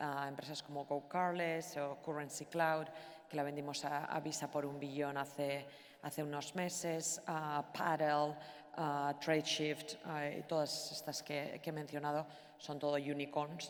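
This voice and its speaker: With audible room echo, a woman with a very deep, low pitch speaks in a Basque accent at a fairly slow pace with monotone, flat intonation. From Basque Country, Spain. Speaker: venture capital investor. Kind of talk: panel discussion. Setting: stage with audience. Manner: hesitant, many fillers.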